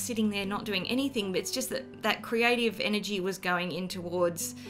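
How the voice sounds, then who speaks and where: A woman with an Australian accent talks at a moderate pace over background music, her medium pitch varying in an ordinary way. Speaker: artist. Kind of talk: casual talk to camera. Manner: unscripted, with stammers and ums.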